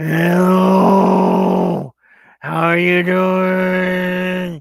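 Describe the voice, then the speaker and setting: This is a put-on character voice at a middle pitch. Its intonation is monotone and flat. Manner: silly.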